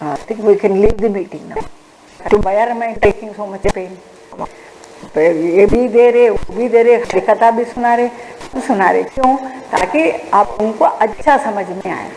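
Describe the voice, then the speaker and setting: The speaker goes at a fairly slow pace with ordinary pitch variation and big swings in loudness, amid noticeable background noise and audible room echo. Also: woman, fairly high pitch for a woman. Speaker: forensic science lecturer. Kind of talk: online lecture. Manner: code-switching Hindi and English.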